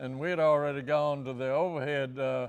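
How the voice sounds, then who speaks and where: With a Virginia accent, a man speaks at a fairly high pitch and a moderate pace, keeping his intonation fairly even. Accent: Southern US (Virginia). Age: 80s+. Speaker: racing team co-founder and mechanic. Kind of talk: interview answer, storytelling.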